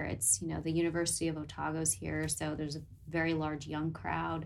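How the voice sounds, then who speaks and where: A woman with a very deep, low pitch, vocal fry and an American accent, at a moderate pace. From Southern California. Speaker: nurse. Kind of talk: interview.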